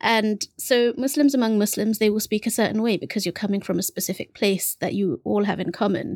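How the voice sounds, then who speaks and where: A woman with a London accent talks at a fairly high pitch and a fairly quick pace, with hardly any pauses and ordinary pitch variation. The sound is dry and close with no echo, on a very clean recording with a silent background. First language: Bengali. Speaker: podcast co-host, bookseller. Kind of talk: casual conversation.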